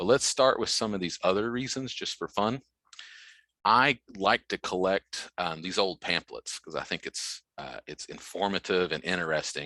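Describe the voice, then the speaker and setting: With a slight Southern US accent, a man at fairly low pitch talks at a moderate pace in a bright, sharp tone with lively intonation, recorded dry and close with no echo, very clean, over a silent background. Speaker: extension educator. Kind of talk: lecture.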